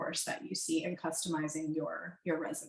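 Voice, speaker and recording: This woman's voice sits at a fairly low pitch. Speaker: career coach. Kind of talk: webinar presentation. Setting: video call. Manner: hesitant with fillers.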